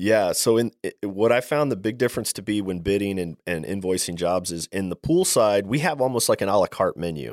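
A man's fairly low voice, an ordinary speaking voice, fairly quick with hardly any pauses and lively intonation, in a dry, close sound with no echo and a very clean recording over a silent background. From Maryland, US East Coast. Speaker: plumbing business owner. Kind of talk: interview.

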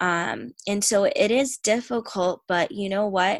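At a fairly slow pace, a woman talks in an ordinary speaking voice at a medium pitch with ordinary pitch variation and a dry, close sound with no echo. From Tampa, Florida, US. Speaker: church member and aspiring surgeon. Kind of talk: testimony.

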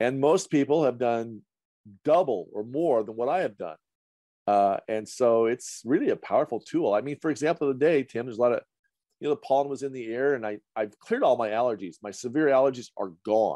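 Speaking at a fairly quick pace with an American accent, a man has a medium pitch and a dark, mellow tone, recorded dry and close with no echo. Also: ordinary pitch variation. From central Idaho. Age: 60s. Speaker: colon hydrotherapist. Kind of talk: casual chat.

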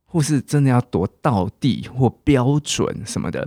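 A man at a fairly slow pace, medium-pitched with vocal fry, on a very clean recording with a silent background. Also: dry, close sound with no echo. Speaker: English teacher and podcast host. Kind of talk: language lesson podcast. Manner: animated.

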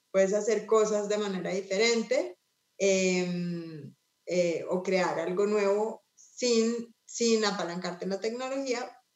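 A woman speaks at a medium pitch. Her pace is very slow, and her pitch varies in an ordinary way. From Colombia. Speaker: nonprofit executive. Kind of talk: panel conversation.

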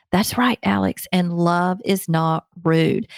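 In a very clean recording with a silent background and a dry, close sound with no echo, a woman speaks with a strong Southern US accent. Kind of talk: interview.

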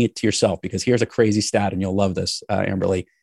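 A man with an American accent, a dark, mellow tone and a very fast pace. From New York City. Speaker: podcast host and business consultant. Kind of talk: interview. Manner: easygoing.

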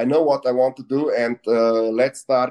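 Someone with a Slovenian accent speaks at a moderate pace in a dark, mellow tone. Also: man. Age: 40s. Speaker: entrepreneur. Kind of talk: interview. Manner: halting.

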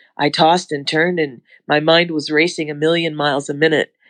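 A woman's plain, everyday voice, fairly low in pitch, at a moderate pace, with a quiet background and a dry, close sound with no echo. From Canada. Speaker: missionary. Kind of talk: testimony.

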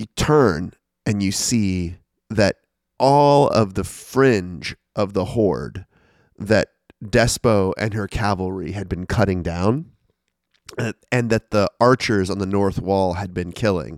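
A man speaks at a very slow pace with a fairly low pitch and ordinary pitch variation, pausing long and often. The sound is dry and close, with no echo. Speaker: podcast host and dungeon master. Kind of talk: tabletop role-playing game session. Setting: in person in a rented room. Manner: animated.

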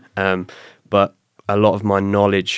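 With a slight southern English accent, a man speaks at a fairly slow pace in a very deep, low voice, recorded dry and close with no echo. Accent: British, slight-to-moderate southern English. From south coast of England. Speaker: retired special forces commando and bodyguard. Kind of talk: casual interview chat. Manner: conversational, storytelling.

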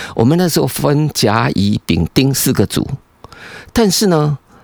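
With very wide pitch swings, a man speaks at a fairly slow pace in a dry, close sound with no echo. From Taiwan. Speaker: environmental engineering professor. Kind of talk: casual interview chat. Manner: animated.

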